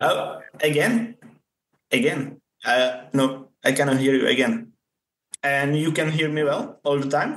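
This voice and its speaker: Speech in a Czech accent at a fairly slow pace, with long, frequent pauses, very even loudness and ordinary pitch variation. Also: man, fairly high pitch for a man. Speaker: obstacle course racing world champion. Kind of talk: interview. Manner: halting.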